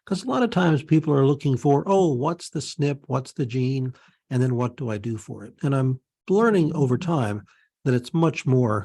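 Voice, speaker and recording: A man with an American accent speaks at a medium pitch and moderate pace, somewhat breathy and dark and mellow in tone, with lively intonation, big swings in loudness and a quiet background. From Pennsylvania, US. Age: 60s. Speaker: naturopath. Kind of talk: interview with screen-share presentation.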